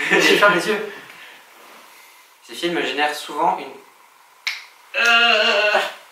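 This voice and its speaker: Over noticeable background noise and audible room echo, a man speaks at a high pitch and a very slow pace, with long, frequent pauses, ordinary pitch variation and big swings in loudness. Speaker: film review show host. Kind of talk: rehearsal of scripted lines with outtakes. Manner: stumbling.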